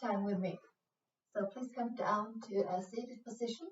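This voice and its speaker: Woman with a Swedish accent, calm tone, somewhat breathy, fairly even intonation. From Sweden. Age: 40s. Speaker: yoga instructor. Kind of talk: guided yoga class. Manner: slow, calm; hesitant, many fillers.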